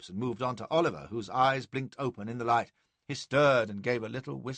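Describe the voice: Against a quiet background, someone gives a plain reading aloud of the text.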